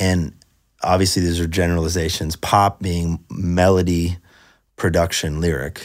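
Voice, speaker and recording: On a very clean recording with a silent background, a man with a very deep, low pitch speaks in a monotone, flat intonation at a moderate pace. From Northern California. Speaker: songwriter and producer, former music pastor. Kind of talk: casual chat.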